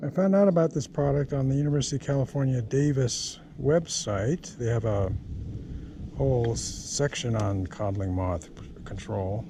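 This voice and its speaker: A man's medium-pitched voice with lively intonation, against noticeable background noise. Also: moderate pace. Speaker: home gardener. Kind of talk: tutorial. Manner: halting.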